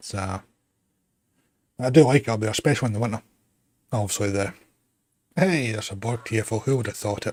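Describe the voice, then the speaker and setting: A man at a medium pitch with a slight Glasgow accent, somewhat breathy, very fast between long, frequent pauses, ordinary pitch variation, very clean recording with a silent background. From Scotland, West Lothian. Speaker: gaming streamer. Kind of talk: casual chat.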